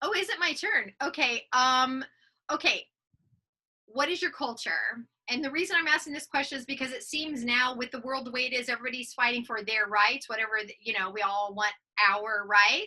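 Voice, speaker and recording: An American woman with an American accent projects a raised voice with a bright, sharp tone and high pitch. Her intonation is lively and her pace moderate. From US military family. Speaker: podcast co-host. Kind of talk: casual chat.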